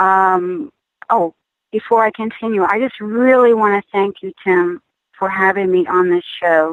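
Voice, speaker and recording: An unremarkable speaking voice, a woman at medium pitch, fairly slow, with ordinary pitch variation. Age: 60s. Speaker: former prison inmate, advocate. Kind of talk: interview testimony.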